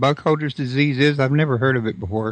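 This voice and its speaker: Speech in a Texas accent with ordinary pitch variation against a quiet background. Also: man. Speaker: radio host. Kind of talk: interview.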